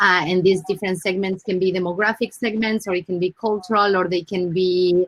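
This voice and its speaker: Hardly pausing, a woman with an Argentine accent talks in a monotone, flat intonation, the sound dry and close with no echo. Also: medium pitch for a woman, fairly quick pace. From Argentina. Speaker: brand marketing director. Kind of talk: panel discussion.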